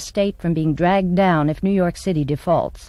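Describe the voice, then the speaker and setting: In a plain, everyday voice, a woman speaks at a fairly quick pace with a fairly low pitch and ordinary pitch variation. The recording is very clean, with a silent background. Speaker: voice-over performer and speech teacher; stage actress. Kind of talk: TV news summary read.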